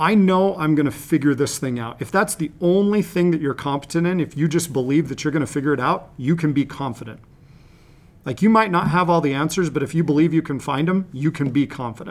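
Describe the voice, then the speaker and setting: A man with an unremarkable speaking voice and fairly high pitch. He talks at a fairly quick pace with ordinary pitch variation. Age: 40s. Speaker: high performance coach and school student specialist. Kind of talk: interview.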